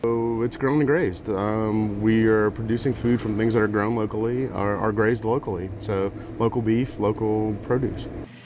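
With noticeable background noise behind him, a man at a fairly low pitch talks at a moderate pace with very even loudness, fairly even intonation and hardly any pauses. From South Louisiana, Lafourche Parish; Louisiana. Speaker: chef and food truck owner. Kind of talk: interview. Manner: halting. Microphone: lapel.

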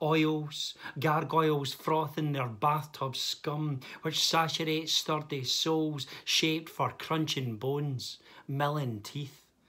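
Against a quiet background, a man speaks at a very slow pace in a bright, sharp tone with fairly even intonation. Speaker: poet. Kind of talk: poetry reading. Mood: dark, measured delivery. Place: home room. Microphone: phone near.

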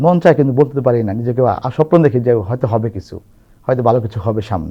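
A man's voice comes across somewhat breathy. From Bangladesh, Chandpur district. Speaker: opposition political activist. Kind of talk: testimony.

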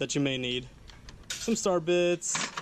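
Noticeable background noise runs behind a man who speaks at a fairly slow pace. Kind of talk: casual tool tour commentary. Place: garage. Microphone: phone near.

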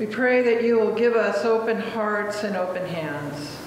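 A woman speaks amid noticeable background noise. Strong room echo surrounds her voice. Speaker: minister leading prayer. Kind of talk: read liturgical prayer. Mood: solemn, calm. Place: church. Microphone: camera far.

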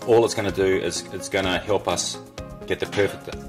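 A man's very deep, low voice at a moderate pace, with clear music in the background. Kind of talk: tutorial. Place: workshop. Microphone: phone near.

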